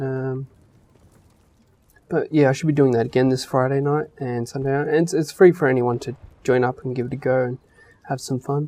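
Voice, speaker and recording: Mumbling in an Australian accent, the speaker moves at a fairly quick pace but breaks it up with long, frequent pauses. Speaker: gaming youtuber. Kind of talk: casual chat. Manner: hesitant, many fillers.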